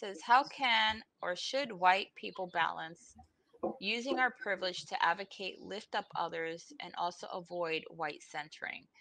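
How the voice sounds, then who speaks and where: Over light background noise, a woman with a bright, sharp tone and vocal fry speaks at a fairly slow pace, her intonation lively and her loudness swinging widely. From Puerto Rico. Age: 50s. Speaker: instructional designer in tech; guest. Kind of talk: panel discussion. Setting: video call. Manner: outspoken. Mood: earnest, reflective. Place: home room. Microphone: video call.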